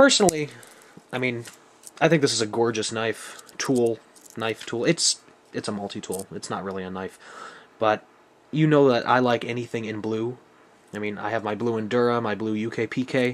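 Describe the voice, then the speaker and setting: Speaking with a Buffalo accent, a man keeps a moderate pace with long, frequent pauses. His pitch is medium, with ordinary pitch variation. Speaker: knife reviewer. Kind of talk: product review. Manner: casual.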